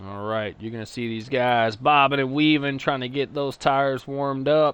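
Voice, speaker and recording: This man talks with a Texas accent. His pitch sits in the medium range. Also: moderate pace. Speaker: sim racing commentator. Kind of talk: live commentary. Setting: live stream. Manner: animated.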